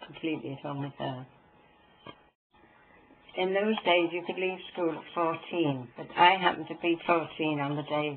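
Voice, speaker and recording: A woman with a Norfolk accent and a very deep, low pitch, at a moderate pace with long, frequent pauses, fairly even intonation, big swings in loudness, and noticeable background noise. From Norfolk, England. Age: 80s+. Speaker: Second World War veteran. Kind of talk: interview answer.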